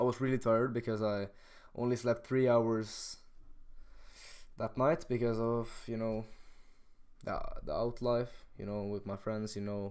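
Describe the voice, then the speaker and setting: With a Norwegian accent, a man speaks at a fairly slow pace in a monotone, flat intonation, leaving long, frequent pauses. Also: medium pitch for a man. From Norway. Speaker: rapper and streamer. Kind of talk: live stream chat. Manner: halting, many fillers.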